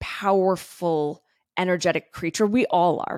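Heard on a very clean recording with a silent background and a dry, close sound with no echo, a woman with medium pitch talks at a moderate pace in a plain, everyday voice. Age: 30s. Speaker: podcast host and wellness coach. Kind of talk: solo podcast monologue. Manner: casual, conversational with tangents.

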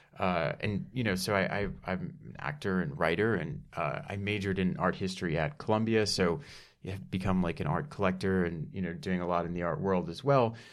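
With an American accent, a man talks at a fairly quick pace in a very deep, low voice with lively intonation. Audible room echo surrounds him. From Dallas, Texas. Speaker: actor and writer. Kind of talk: casual interview chat. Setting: studio.

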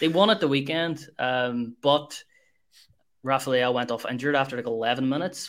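Talking at a fairly quick pace, a man uses a plain, everyday voice at medium pitch with ordinary pitch variation. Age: 20s. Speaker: football podcast co-host. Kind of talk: casual chat.

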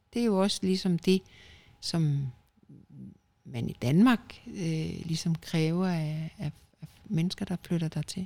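A woman speaks very slowly, with long, frequent pauses. Her voice is fairly low, dark and mellow, and somewhat breathy. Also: ordinary pitch variation. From Denmark. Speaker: podcast co-host. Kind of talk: casual chat.

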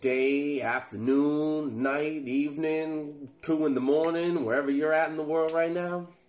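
Pausing hardly at all, a man with a fairly high voice talks at a fairly slow pace amid audible room echo. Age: 20s. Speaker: podcast host, content creator. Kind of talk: casual solo monologue. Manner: casual, halting with filler words.

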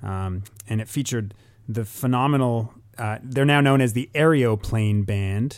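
Recorded very cleanly with a silent background, a man talks at a fairly slow pace in a normal speaking voice with ordinary pitch variation. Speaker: podcast co-host, music commentator. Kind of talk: explanatory discussion.

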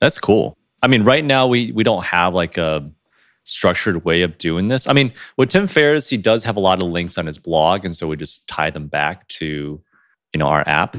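With very wide pitch swings, a very deep, low-voiced man speaks at a moderate pace in a very clean recording with a silent background. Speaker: podcast co-host. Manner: stumbles over words, sometimes slurs or mispronounces.

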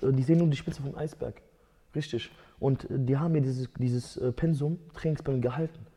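With a dark, mellow, somewhat breathy tone, a man speaks at a fairly high pitch, keeping a moderate pace and fairly even intonation. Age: 20s. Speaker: MMA fighter. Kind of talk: casual chat.

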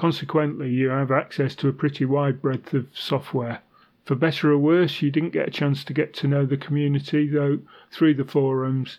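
A man's fairly high-pitched, monotone voice with flat intonation at a moderate pace. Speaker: podcast co-host. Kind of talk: casual tech review podcast.

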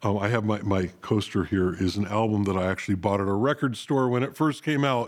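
An American-accented man with a normal speaking voice talks at a moderate pace, with fairly low pitch, ordinary pitch variation and very even loudness, on a very clean recording with a silent background. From US West, North Hollywood, California. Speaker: podcast host. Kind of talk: casual chat. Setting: studio.

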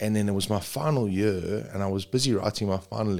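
A man with a South African accent speaks at a fairly quick pace and fairly low pitch with ordinary pitch variation, on a very clean recording with a silent background. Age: 40s. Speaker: paramedic. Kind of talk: casual chat.

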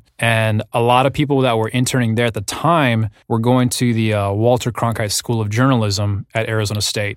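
A man with a plain, everyday voice, medium pitch and fairly even intonation, at a fairly quick pace with hardly any pauses, in a very clean recording over a silent background. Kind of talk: casual interview chat.

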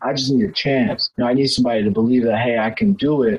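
This man has an unremarkable speaking voice. His pitch is medium, with ordinary pitch variation. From Texas (Houston), Nigerian parents. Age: 20s. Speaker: former college soccer player, production worker. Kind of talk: interview.

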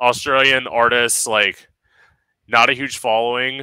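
A man's medium-pitched voice, bright and sharp in tone, on a very clean recording with a silent background. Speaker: podcast host. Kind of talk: casual chat.

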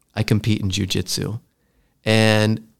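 A fairly slow, medium-pitched male voice. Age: 40s. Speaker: podcast host. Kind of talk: casual chat.

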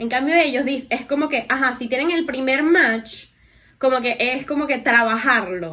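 A woman projects a raised voice with a high pitch and bright, sharp tone. She keeps to a moderate pace. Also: ordinary pitch variation. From Venezuela. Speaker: podcast co-host. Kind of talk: casual chat.

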